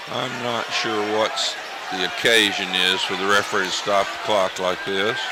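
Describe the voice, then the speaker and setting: The voice has a monotone, flat intonation at a moderate pace, with audible room echo and noticeable background noise. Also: man, fairly low pitch for a man. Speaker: high school football color commentator. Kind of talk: live commentary.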